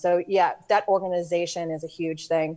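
Against a quiet background, a woman speaks with a New York accent and fairly even intonation. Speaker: real estate lending software rep. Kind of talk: interview. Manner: direct.

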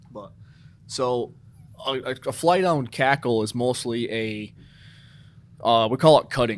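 Speaking very slowly with an American accent, a man keeps a medium pitch with ordinary variation. His loudness swings widely. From New York State. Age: 30s. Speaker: hunter recruitment coordinator. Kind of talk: casual interview.

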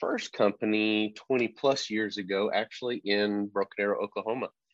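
With a Texan accent, a man speaks in a fairly low pitch and fairly even intonation. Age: 40s. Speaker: landscaping business owner. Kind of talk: interview.

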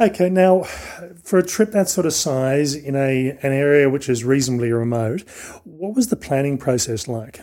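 This man, with an Australian accent, has a fairly high pitch and a dark, mellow tone. He talks at a moderate pace with lively intonation. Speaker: podcast host. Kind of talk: interview.

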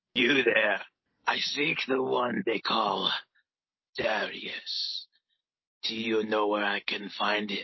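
At a low-to-middle pitch, a put-on character voice speaks very slowly with long, frequent pauses. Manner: formal, dutiful.

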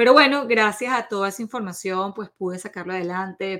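Fairly quick and bright, sharp in tone, a woman's medium-pitched voice shows ordinary pitch variation on a very clean recording with a silent background. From Venezuela. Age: 40s. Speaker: nutritionist podcast host. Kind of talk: podcast monologue.

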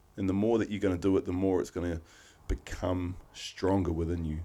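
Very deep and low, a man's dark, mellow voice with a New Zealand accent moves at a moderate pace. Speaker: podcast co-host. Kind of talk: casual chat.

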